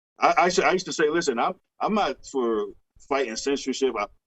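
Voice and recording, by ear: A man speaks at a fairly quick pace and medium pitch, with lively intonation, a fairly bright tone and a slightly husky edge.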